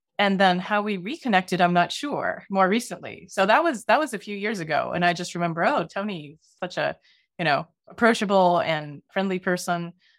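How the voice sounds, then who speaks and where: At a fairly quick pace, a woman talks in an ordinary speaking voice at medium pitch with lively intonation. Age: 40s. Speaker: documentary filmmaker and media nonprofit co-founder. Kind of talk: interview conversation. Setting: video call.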